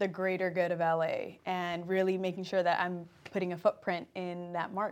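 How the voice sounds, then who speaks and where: Here is a woman with an American accent. The recording is very clean, with a silent background. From Compton, Los Angeles. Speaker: athlete and entertainment host. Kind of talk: interview.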